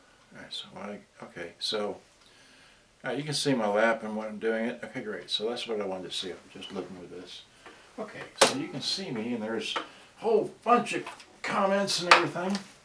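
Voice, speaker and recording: Speaking fairly quickly at a medium pitch, a man makes very wide pitch swings and takes long, frequent pauses. Audible room echo and noticeable background noise fill the recording. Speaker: electronics repair hobbyist. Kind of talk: live-stream repair tutorial. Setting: live stream with camera at home. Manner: soft-spoken, not very loud; halting, many fillers.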